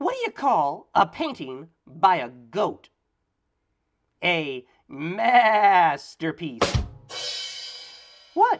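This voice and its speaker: A man's cartoonish character voice, high-pitched, at a very slow pace with long, frequent pauses and music in the background. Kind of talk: children's drawing show. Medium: puppet. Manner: playful, joking.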